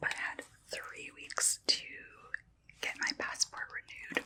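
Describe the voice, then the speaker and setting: A woman is whispering at a very slow pace. Noticeable background noise runs underneath. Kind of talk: casual talk to camera, show and tell. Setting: close microphone, ASMR recording. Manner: whispered, soft-spoken.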